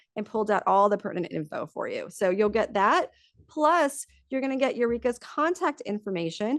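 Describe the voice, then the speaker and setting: Against a quiet background, a woman talks at a fairly quick pace with an energetic tone. Her fairly high voice moves through very wide pitch swings. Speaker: marketing executive and webinar host. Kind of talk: webinar presentation. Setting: office, online webinar. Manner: fast.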